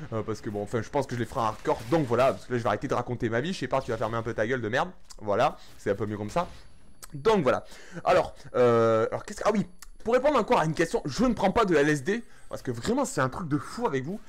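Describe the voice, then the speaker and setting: A man talks at a very fast pace in a fairly high pitch. His pitch swings very widely. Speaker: gaming YouTuber. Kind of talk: gameplay commentary. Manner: poor articulation.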